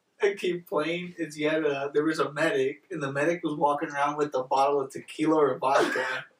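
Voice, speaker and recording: Against noticeable background noise, a man talks at a very fast pace and fairly high pitch with fairly even intonation. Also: hardly any pauses. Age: 20s. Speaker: podcast host. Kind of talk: casual chat. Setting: studio with small live audience.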